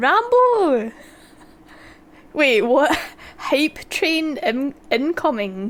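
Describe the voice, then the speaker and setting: A woman with a Scottish accent, high-pitched, very slow, with long, frequent pauses and very wide pitch swings. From Scotland. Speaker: video game streamer. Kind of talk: live gameplay commentary. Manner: animated.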